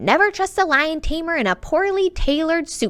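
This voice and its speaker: A woman performs a put-on character voice pitched extremely high. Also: moderate pace. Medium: read story. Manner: playful.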